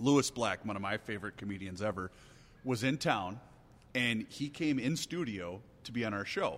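A man with an ordinary speaking voice talks at a moderate pace in a fairly low pitch, his intonation lively, on a very clean recording with a silent background. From US Midwest. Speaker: radio talk show host. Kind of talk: casual chat over drinks.

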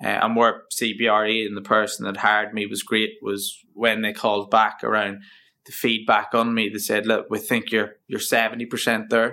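A man's bright, sharp voice sits at a fairly low pitch. He talks at a moderate pace with monotone, flat intonation. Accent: Northern Irish. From Northern Ireland (County Down). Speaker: facilities management project lead. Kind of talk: interview.

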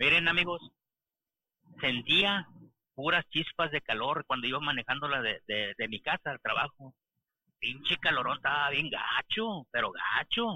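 A man speaks at a fairly high pitch with lively intonation. His pace is fairly slow, broken by long, frequent pauses. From interior of Mexico. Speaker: truck driver. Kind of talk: casual chat. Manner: halting.

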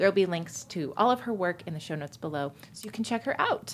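This woman talks at a very fast pace. Her medium pitch makes very wide swings. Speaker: podcast host. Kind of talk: interview. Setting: studio.

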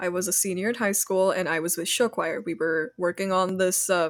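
Set against a silent background in a very clean recording, a woman with a plain, everyday voice talks at a moderate pace and medium pitch, her intonation fairly even. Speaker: digital artist. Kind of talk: casual chat.

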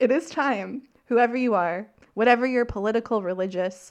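The speaker talks at a moderate pace with an ordinary amount of pitch variation and a Canadian prairies accent, against a quiet background. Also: woman. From Saskatchewan, Canada. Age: 30s. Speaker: podcast host. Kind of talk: casual chat.

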